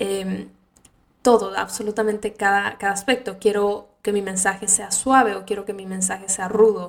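Big swings in loudness, a moderate pace and monotone, flat intonation. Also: woman, medium pitch for a woman. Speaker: podcast host. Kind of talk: casual monologue.

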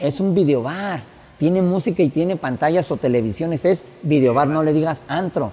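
Pitched fairly high, a man speaks in a plain, everyday voice at a moderate pace with lively intonation. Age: 50s. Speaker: DJ. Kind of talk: casual interview. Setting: bar with music playing.

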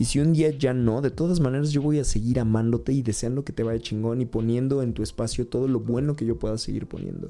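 This man speaks with a Mexican accent at a medium pitch, his tone dark and mellow. His pace is fairly quick. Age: 30s. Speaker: podcast host. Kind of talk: personal monologue. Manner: halting, with repetitions.

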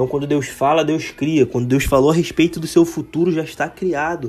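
This man talks at a fairly quick pace in a fairly high pitch, his intonation monotone and flat. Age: 20s. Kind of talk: devotional monologue. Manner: casual.

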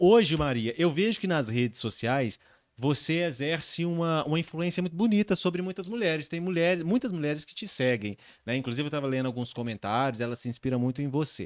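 Lively in intonation and fairly quick, a man speaks in a normal speaking voice at a fairly high pitch, on a very clean recording with a silent background. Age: 30s. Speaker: podcast host. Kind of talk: casual chat. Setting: live-streamed studio podcast.

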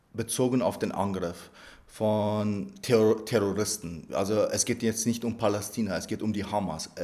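A man talks in an Arabic accent. His pace is fairly slow and his intonation fairly even. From Iraq, then Lower Bavaria from age 11. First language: Arabic (speaking German). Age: 30s. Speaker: member of parliament. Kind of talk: interview. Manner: hesitant, many fillers and repetitions.

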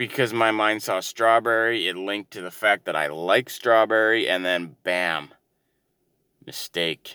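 Mumbling at a moderate pace in a bright, sharp tone, the speaker is heard on a very clean recording with a silent background and a dry, close sound with no echo. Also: man. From Canada, Ontario. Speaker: solo podcaster. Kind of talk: casual monologue. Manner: hesitant, many fillers.

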